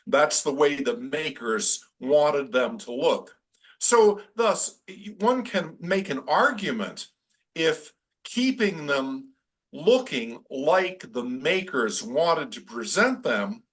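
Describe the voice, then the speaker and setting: A man's high-pitched voice at a very slow pace, with very wide pitch swings and big swings in loudness. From New England. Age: 60s. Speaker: astronomy historian. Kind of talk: Q&A in webinar. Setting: video call. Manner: halting.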